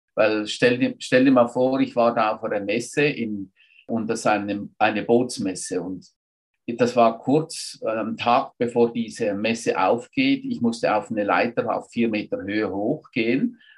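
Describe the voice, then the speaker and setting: The speaker moves at a fairly slow pace with fairly even intonation. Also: man, medium pitch for a man. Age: 60s. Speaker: entrepreneur. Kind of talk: interview. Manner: halting.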